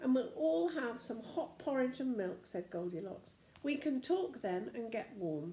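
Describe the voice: Someone does plain reading aloud here.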